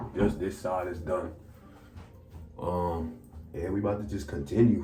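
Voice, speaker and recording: A man talks at a fairly slow pace in a relaxed tone. The room echo is audible and there is noticeable background noise. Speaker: hair care youtuber. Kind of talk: casual tutorial vlog. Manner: relaxed, casual.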